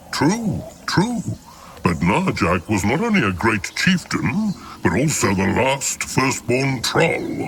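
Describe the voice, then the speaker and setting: Putting on a gruff character voice at medium pitch, a man speaks over clear background noise. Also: fairly slow pace. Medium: video game. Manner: blunt, gruff, talks of self in third person.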